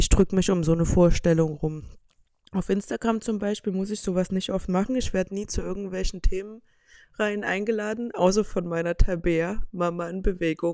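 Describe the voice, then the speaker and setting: A woman with a dark, mellow tone and a medium pitch speaks at a moderate pace with fairly even intonation. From Saxony, Saxon Switzerland. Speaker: podcast host. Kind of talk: casual monologue.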